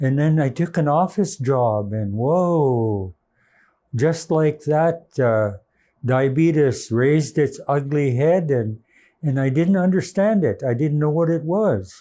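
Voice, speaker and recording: In a very clean recording with a silent background, a man speaks at a very slow pace with a dark, mellow tone, fairly high pitch, lively intonation and very even loudness. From British Columbia, Canada. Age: 70s. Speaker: diabetes patient. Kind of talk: testimony. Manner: halting.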